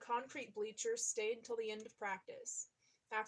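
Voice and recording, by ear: Against a quiet background, someone is reading aloud in a natural voice.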